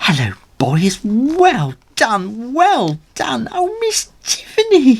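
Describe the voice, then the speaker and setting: Very slow, fairly high-pitched speech in a put-on character voice. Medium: read story. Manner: fussy, upbeat.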